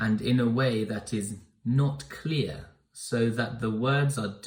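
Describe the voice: The text is read aloud plainly. Nothing more is added to the reading.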